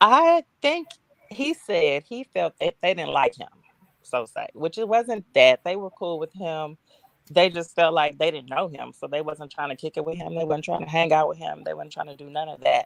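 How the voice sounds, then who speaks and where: A Texas accent in a dry, close sound with no echo. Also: woman. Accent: Southern US, Texas. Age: 40s. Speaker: interview guest. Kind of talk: interview.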